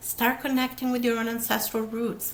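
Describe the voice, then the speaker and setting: Audible room echo surrounds a woman speaking with an Italian accent. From Italy. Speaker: podcast host, therapist. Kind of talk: solo video talk, social commentary. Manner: fast.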